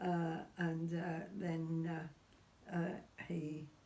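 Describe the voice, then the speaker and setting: Somewhat breathy and fairly low-pitched, a woman speaks in a dark, mellow tone with monotone, flat intonation. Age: 80s+. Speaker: witness of seance phenomena. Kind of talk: interview answer.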